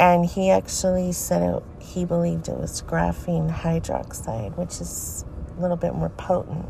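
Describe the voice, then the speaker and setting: Noticeable background noise is present. A woman talks at a moderate pace. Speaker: podcaster. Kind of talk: reading aloud social media posts with commentary. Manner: informal, addressing listeners directly.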